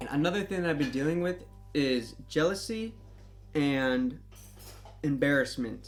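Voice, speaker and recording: The speaker keeps a moderate pace. Music can be heard in the background. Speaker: retail worker. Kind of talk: casual chat to camera.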